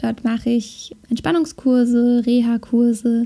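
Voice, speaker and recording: Very slow speech from a woman, fairly high in pitch yet dark and mellow in tone. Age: 20s. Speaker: podcast host, fitness and relaxation coach. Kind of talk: podcast intro monologue.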